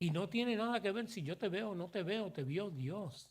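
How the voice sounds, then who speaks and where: On a very clean recording with a silent background, a man speaks high in pitch, with an animated tone and lively intonation. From New York City, Puerto Rican family. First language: English (speaking Spanish). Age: 60s. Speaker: pastor. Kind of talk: sermon. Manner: animated, conversational.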